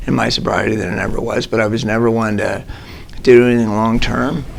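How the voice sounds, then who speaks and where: Noticeable background noise accompanies a man speaking at medium pitch and a moderate pace. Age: 60s. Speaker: recovering alcoholic sharing his story. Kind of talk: testimony. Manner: halting.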